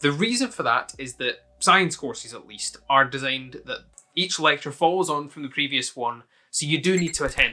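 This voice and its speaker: A man's fairly high voice with lively intonation, a moderate pace, big swings in loudness and a bright, sharp tone. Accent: Scottish. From Scotland. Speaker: university student youtuber. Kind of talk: casual Q&A to camera.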